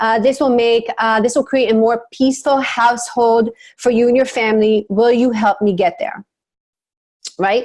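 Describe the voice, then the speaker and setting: A woman's fairly high voice at a moderate pace, with ordinary pitch variation, very even loudness and a quiet background. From abroad, then US from childhood. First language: not English. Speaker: marketing and messaging coach. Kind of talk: webinar presentation.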